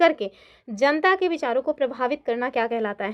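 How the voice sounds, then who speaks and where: Her voice swinging very widely in pitch, a woman speaks. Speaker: online exam-prep teacher. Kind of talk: online lecture. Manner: conversational.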